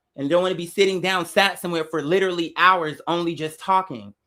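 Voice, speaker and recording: Fairly quick speech with an American accent on a very clean recording, silent background. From Arizona. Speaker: musician and livestreamer. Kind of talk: casual livestream rant. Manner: loud; animated.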